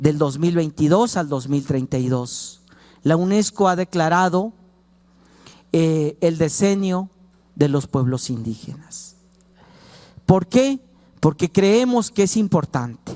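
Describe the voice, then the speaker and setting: Speaking in a Chiapas accent, the voice has a dark, mellow tone and lively intonation. It moves at a very slow pace with long, frequent pauses. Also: man, fairly high pitch for a man. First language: Tzotzil (speaking Spanish). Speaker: law professor. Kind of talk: lecture. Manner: hesitant, many fillers.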